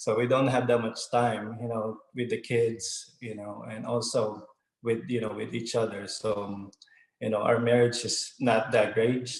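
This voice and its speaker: Somewhat breathy, a man talks at a fairly slow pace in a medium pitch with monotone, flat intonation. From Philippines. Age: 30s. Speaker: network marketing distributor. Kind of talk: testimony. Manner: halting, many fillers.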